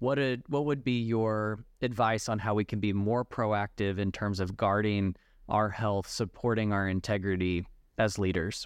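The speaker has a plain, everyday voice at a moderate pace, with very even loudness and fairly even intonation. The background is quiet. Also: man, fairly low pitch for a man. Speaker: podcast host. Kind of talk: interview.

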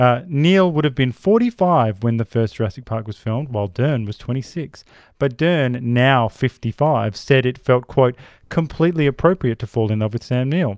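An Australian accent colors this man's medium-pitched voice. He talks at a moderate pace with ordinary pitch variation. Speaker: podcast host. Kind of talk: casual chat.

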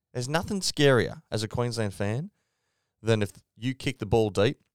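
A man with an Australian accent talks at a moderate pace with lively intonation. The sound is dry and close, with no echo. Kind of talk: casual chat. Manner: animated, ranting.

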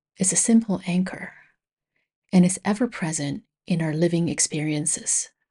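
Over a quiet background, a woman speaks in a dark, mellow tone at a fairly low pitch with ordinary pitch variation. She sounds somewhat breathy and leaves long, frequent pauses. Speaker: meditation teacher. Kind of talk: guided meditation. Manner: soft-spoken; slow.

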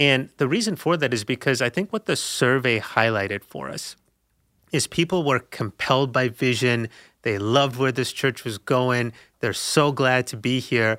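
A man speaks at a moderate pace in a medium pitch with ordinary variation and a bright, sharp tone. The very clean recording has a silent background and a dry, close sound with no echo. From South Africa. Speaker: pastor. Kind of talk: casual chat.

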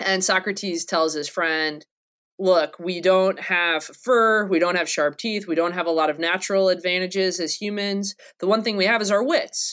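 A woman speaks in a plain, everyday voice at medium pitch, with fairly even intonation and a moderate pace. The recording is very clean, with a silent background. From North Carolina. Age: 30s. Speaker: philosophy professor. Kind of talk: casual academic interview.

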